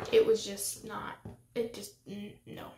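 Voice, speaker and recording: Soft-spoken, a woman talks at a fairly slow pace. Noticeable background noise runs underneath. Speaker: beauty youtuber. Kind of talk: makeup tutorial chat. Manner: hesitant with fillers.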